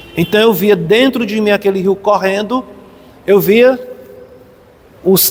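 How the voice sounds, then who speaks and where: With noticeable background noise behind him, a man talks at a moderate pace in a high pitch. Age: 60s. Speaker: pilgrim. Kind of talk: testimony. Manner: halting.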